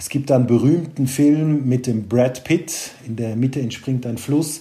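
With a slight Swiss German accent, a man speaks at a medium pitch in a dark, mellow, somewhat breathy tone with ordinary pitch variation. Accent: Swiss German tinge. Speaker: private banker. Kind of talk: casual interview.

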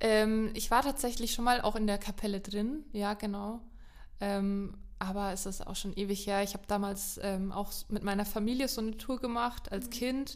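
A woman talks at a moderate pace with fairly even intonation and a fairly high pitch. Audible room echo surrounds her voice. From Lower Franconia, Germany. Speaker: podcast co-presenter. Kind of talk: casual chat.

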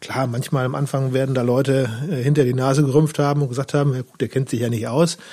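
A man's medium-pitched, dark, mellow voice at a very fast pace, with monotone, flat intonation. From western Germany, Lower Rhine and Münsterland. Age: 40s. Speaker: newspaper reporter. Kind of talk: casual interview chat.

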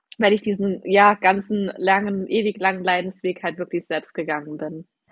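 A woman's medium-pitched voice at a moderate pace, with flat, monotone intonation. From Saarland, Germany. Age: 20s. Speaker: health coach. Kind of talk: podcast interview. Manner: casual, many fillers.

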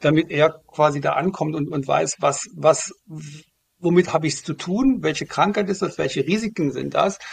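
The voice has vocal fry and moves at a moderate pace with ordinary pitch variation. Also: man, fairly high pitch for a man. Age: 50s. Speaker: start-up founder, former pharma manager. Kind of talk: interview. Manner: hesitant, many fillers.

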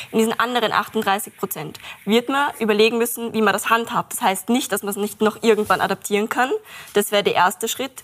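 Speaking at a fairly quick pace with fairly even intonation, a woman has a normal speaking voice in a fairly high pitch. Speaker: climate activist. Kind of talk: panel discussion.

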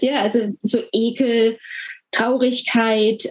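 A woman's voice, high in pitch. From Germany. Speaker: health communication trainer, former nurse. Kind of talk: interview. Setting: video call from home.

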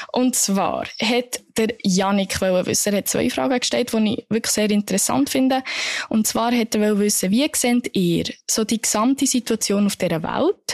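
A woman talks at a fairly slow pace with lively intonation and very even loudness, her sound dry and close with no echo. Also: fairly high pitch for a woman. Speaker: podcast co-host. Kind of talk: casual chat.

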